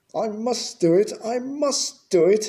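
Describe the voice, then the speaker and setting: A man puts on a character voice. It sits at an extremely high pitch. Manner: desperate.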